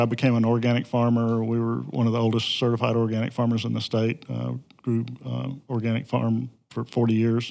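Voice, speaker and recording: A man's dark, mellow voice with a Southern US accent, flat and monotone at a moderate pace, on a very clean recording with a silent background. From Mississippi Delta, US South. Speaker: environmental advocacy group president. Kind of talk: interview.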